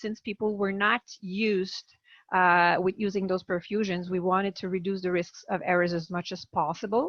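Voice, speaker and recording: A woman speaks with a Quebec French accent. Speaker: palliative care physician. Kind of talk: webinar presentation. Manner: halting.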